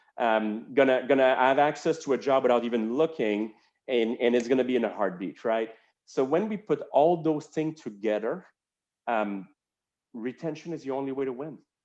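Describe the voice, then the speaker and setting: Speaking at a moderate pace, this man has a French Canadian accent and ordinary pitch variation. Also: medium pitch for a man. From Quebec, Montreal. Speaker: healthcare executive. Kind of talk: interview.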